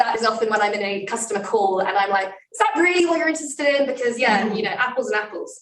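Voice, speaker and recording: Lively in intonation, a woman talks at a very fast pace with audible room echo. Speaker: tech company security presenter. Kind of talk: conference talk Q&A. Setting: live event with in-person and online audience.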